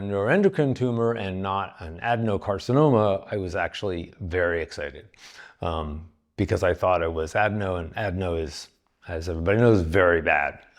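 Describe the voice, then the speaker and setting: Someone with an American accent speaks at a fairly quick pace with lively intonation over a quiet background. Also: man. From California. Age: 60s. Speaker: cancer patient. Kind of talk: interview. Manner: hesitant, many fillers.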